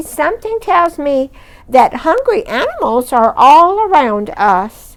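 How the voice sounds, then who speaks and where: A female-sounding put-on character voice, extremely high in pitch, swings very widely up and down. The delivery moves at a fairly slow pace. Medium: read story.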